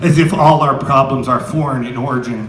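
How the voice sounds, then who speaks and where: A man speaking in an American accent rattles along very quickly, with noticeable noise in the background. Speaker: poet. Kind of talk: live slam poetry performance. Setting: live venue with audience.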